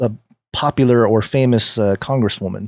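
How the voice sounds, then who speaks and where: With a plain, everyday voice, a man speaks at a medium pitch and moderate pace on a very clean recording with a silent background and a dry, close sound with no echo. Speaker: podcast co-host. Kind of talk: casual chat.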